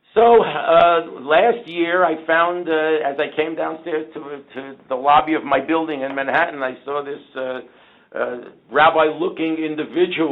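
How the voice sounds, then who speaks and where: A man with a fairly high pitch at a moderate pace, ordinary pitch variation and big swings in loudness. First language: Yiddish. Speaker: beer distributor business owner. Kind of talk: interview storytelling.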